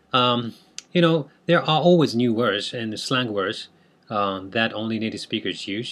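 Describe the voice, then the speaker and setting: Moderate pace, lively intonation and a bright, sharp tone, with a Japanese accent. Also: man. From Japan, Tokyo. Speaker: language teacher. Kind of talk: tutorial. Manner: halting, many fillers.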